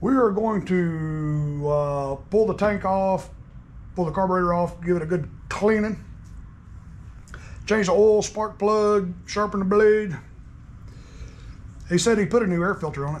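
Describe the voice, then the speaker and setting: This man's voice sits high for a man, with ordinary pitch variation. He talks at a fairly slow pace, leaving long, frequent pauses. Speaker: small engine repair vlogger. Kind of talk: casual vlog chat. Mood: cheerful, joking. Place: garage. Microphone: phone near.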